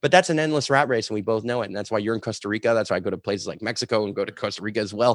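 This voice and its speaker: In a very clean recording with a silent background, a man with a medium pitch and ordinary pitch variation speaks at a very fast pace with hardly any pauses. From Canada, Montreal suburbs. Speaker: sustainability entrepreneur and storytelling coach. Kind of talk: casual interview conversation.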